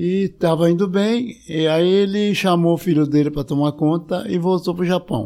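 A man's high-pitched voice, dark and mellow in tone, at a moderate pace with ordinary pitch variation, very even loudness and hardly any pauses. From São Paulo, Brazil. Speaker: retired entomology professor. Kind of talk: interview, life story.

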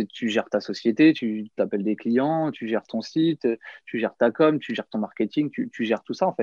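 A man with an ordinary speaking voice talks at medium pitch and a moderate pace, with lively intonation. The sound is dry and close with no echo, over a quiet background. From France, Nièvre (Burgundy). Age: 30s. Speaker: professional magician. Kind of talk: casual interview.

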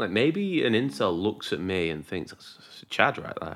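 The recording is very clean and the background silent. A man races along at a very fast pace. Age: 20s. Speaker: podcast co-host. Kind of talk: casual chat. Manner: animated.

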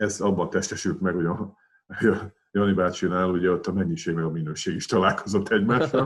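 Speaking fairly quickly in a plain, everyday voice, a man uses a fairly low pitch with ordinary pitch variation over a quiet background. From Hungary, Pécs. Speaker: retired weightlifting champion and coach. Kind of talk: casual interview.

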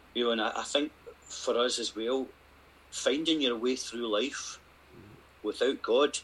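Moderate pace in a Scottish accent, with ordinary pitch variation and long, frequent pauses. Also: man, medium pitch for a man. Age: 50s. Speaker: retreat participant sharing faith story. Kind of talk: testimony.

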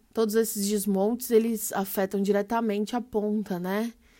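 At a moderate pace, a woman speaks in a medium pitch with monotone, flat intonation on a very clean recording with a silent background. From São Paulo, far south rural outskirts. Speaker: journalist and environmental activist. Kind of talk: panel discussion.

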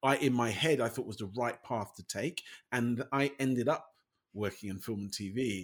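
An unremarkable speaking voice from a man, medium in pitch and moderate in pace. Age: 50s. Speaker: podcast host. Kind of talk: casual chat.

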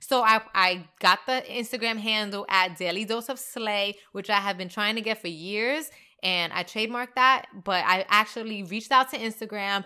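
A woman with a fairly high pitch and a bright, sharp tone speaks at a moderate pace, sounding animated with ordinary pitch variation. She takes hardly any pauses, on a very clean recording with a silent background. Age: 20s. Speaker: podcaster and entrepreneur. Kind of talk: casual monologue.

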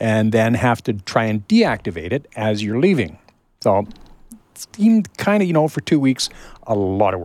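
A man with an ordinary speaking voice talks at a medium pitch and a fairly slow pace, with lively intonation. The recording is very clean, with a silent background. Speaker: computer shop owner, tech guest. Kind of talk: casual radio chat.

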